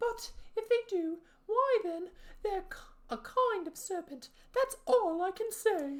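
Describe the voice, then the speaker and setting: Squeaky and extremely high, a put-on character voice proceeds at a fairly slow pace with long, frequent pauses. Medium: read story. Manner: agitated, complaining, accusatory.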